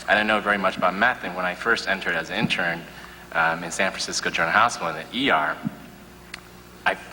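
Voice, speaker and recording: Against noticeable background noise, a man with an American accent and a very deep, low pitch talks at a very fast pace with long, frequent pauses and ordinary pitch variation. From Chicago, US Midwest. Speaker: psychiatrist. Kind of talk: panel discussion. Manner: loud.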